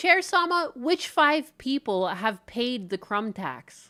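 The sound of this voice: A female-sounding voice uses a put-on character voice that is high in pitch, raised, and projected. The pace is fairly slow on a very clean recording with a silent background.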